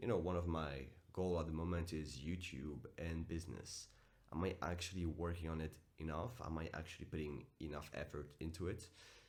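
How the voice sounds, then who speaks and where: Over audible room echo, a man with a very deep, low pitch and vocal fry speaks at a fairly quick pace with fairly even intonation. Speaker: self-improvement vlogger and coach. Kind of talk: motivational vlog monologue. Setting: at home early morning. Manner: casual, direct.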